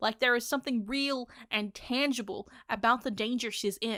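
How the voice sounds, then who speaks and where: The recording is very clean, dry and close, with a silent background and no echo. A woman speaks at a moderate pace in a fairly high voice with a bright, sharp tone. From Australia. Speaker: manga reviewer. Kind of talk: casual review monologue. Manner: animated.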